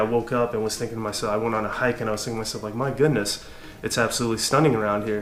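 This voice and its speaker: A medium-pitched man's voice with an American accent, flat and monotone, over noticeable background noise. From US, Southern California. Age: 30s. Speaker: hiking vlogger. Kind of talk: casual vlog monologue. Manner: halting with many fillers.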